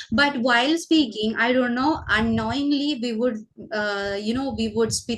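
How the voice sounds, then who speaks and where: A woman with a Keralan accent speaks at a fairly high pitch. Her voice is somewhat breathy and her pace fairly slow. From Kerala, India. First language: Malayalam. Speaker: teacher and channel host. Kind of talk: casual conversation for English learners. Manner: hesitant, many fillers.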